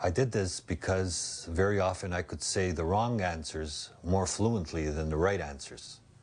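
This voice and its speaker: A man with a very deep, low pitch speaks at a fairly slow pace. His voice is somewhat breathy, with ordinary pitch variation. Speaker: documentary narrator who stutters. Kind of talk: documentary narration.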